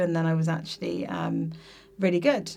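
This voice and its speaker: In a southern English accent, a woman speaks with a fairly low pitch. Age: 20s. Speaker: teacher. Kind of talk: casual chat. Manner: hesitant, many fillers.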